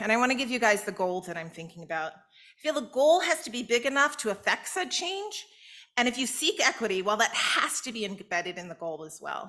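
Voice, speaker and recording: At a fairly high pitch and a fairly quick pace, a woman talks with very wide pitch swings and big swings in loudness. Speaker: invited speaker, public health policy advocate. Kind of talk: keynote speech. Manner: fast.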